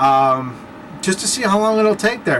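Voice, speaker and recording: Against noticeable background noise, a man with a high pitch speaks with very wide pitch swings. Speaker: vlogger. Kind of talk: casual vlog monologue. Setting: at home, late at night. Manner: fast; animated.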